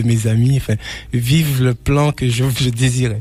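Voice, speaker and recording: Music plays in the background while a man speaks fairly slowly. His medium-pitched voice holds a fairly even intonation. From Martinique (Trinité). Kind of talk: testimony. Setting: radio broadcast. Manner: halting, with frequent repetitions.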